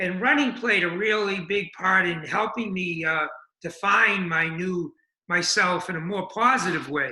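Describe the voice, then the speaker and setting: A man with an American accent projects a raised voice at a high pitch, with audible room echo. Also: ordinary pitch variation. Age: 70s. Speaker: addiction recovery running club founder. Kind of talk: interview. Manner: halting, many fillers.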